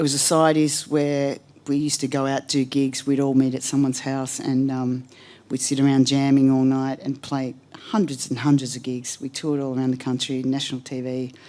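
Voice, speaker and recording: Woman with an Australian accent, very deep and low in pitch, dark and mellow in tone, monotone and flat in intonation, at a fairly quick pace. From Australia, Melbourne outskirts. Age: 60s. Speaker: blues singer, hall of fame inductee. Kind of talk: acceptance speech. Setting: stage with audience at music hall. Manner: casual, with many filler ums.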